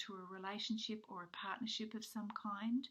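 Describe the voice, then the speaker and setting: Fairly high in pitch, a woman's voice comes across as somewhat breathy. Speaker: tarot card reader. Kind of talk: spiritual card reading monologue. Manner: hesitant, many fillers.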